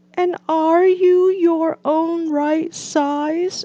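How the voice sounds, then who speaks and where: A woman uses a put-on character voice with extremely high pitch and monotone, flat intonation. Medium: read story.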